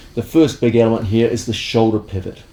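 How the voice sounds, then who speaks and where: A man's relaxed, medium-pitched voice. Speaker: martial arts instructor. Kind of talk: instructional tutorial.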